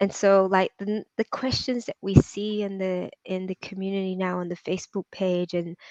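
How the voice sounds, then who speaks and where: Against a quiet background, a woman speaks at a moderate pace with fairly even intonation in a dry, close sound with no echo. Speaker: property community founder being interviewed. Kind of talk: live interview.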